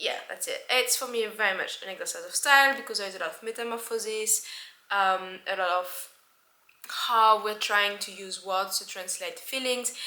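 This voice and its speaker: In a French accent, the voice has a bright, sharp tone, ordinary pitch variation and a moderate pace. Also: woman, fairly high pitch for a woman. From France. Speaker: book vlogger. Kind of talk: casual book review monologue. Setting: at home by window.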